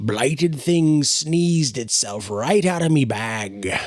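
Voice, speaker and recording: Putting on a croaky, rumbling character voice at medium pitch, a man speaks at a fairly slow pace over light background noise. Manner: grumbling.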